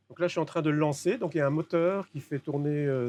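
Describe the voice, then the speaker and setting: A man with a fairly high pitch and a dark, mellow tone talks at a fairly quick pace with ordinary pitch variation, in a dry, close sound with no echo. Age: 60s. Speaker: electronics repairer. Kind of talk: interview; demonstration. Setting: workshop. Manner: hesitant, many fillers.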